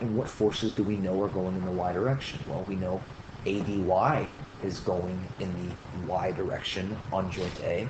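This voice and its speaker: Noticeable background noise and audible room echo surround a man whose very deep, low voice keeps a fairly even intonation. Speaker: engineering instructor. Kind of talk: tutorial. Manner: fast.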